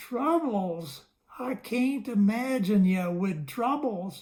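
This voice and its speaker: A woman's put-on character voice, timid in tone, medium in pitch, with very wide pitch swings and a very slow pace. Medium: read story. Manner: timid, hesitant, ungrammatical folksy speech.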